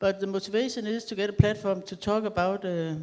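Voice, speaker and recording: A woman with a medium pitch and a dark, mellow tone speaks at a moderate pace with fairly even intonation. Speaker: politician with Parkinson's. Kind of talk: panel discussion.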